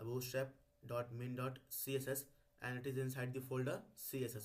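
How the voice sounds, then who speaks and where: Fairly quick, somewhat breathy speech from a man. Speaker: coding tutorial YouTuber. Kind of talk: tutorial. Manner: hesitant with many fillers.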